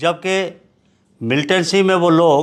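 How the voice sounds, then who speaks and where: The man's voice shows ordinary pitch variation. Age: 70s. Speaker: political veteran. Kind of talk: interview.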